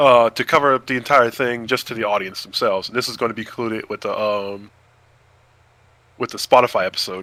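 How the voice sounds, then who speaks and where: Speaking at a fairly quick pace with a slight Southern US accent, a man uses a medium pitch, a bright, sharp tone and fairly even intonation. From US South. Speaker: podcast host. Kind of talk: casual chat. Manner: halting.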